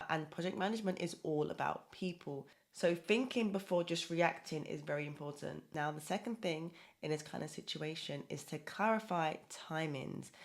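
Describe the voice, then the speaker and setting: A woman speaks with vocal fry and ordinary pitch variation. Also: fairly low pitch for a woman, very clean recording, silent background. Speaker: project management coach. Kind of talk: talking-head advice video. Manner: fast.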